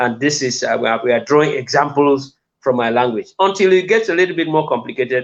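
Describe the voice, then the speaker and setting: A man's fairly high voice, very fast pace and lively intonation. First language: Lamso. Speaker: linguistics professor. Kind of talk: interview. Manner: halting, many fillers and repeats.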